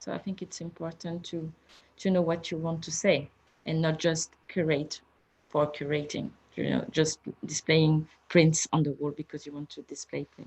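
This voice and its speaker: A woman with a French accent and a very deep, low pitch speaks somewhat breathily at a moderate pace in a monotone, flat intonation, the sound dry and close with no echo. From France. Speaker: museum photography curator. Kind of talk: panel conversation. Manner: halting with repetitions.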